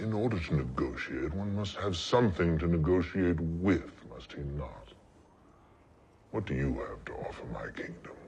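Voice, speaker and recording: A man's put-on character voice at a very deep, low pitch, with lively intonation, big swings in loudness and a moderate pace. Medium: short film. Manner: sardonic, commanding.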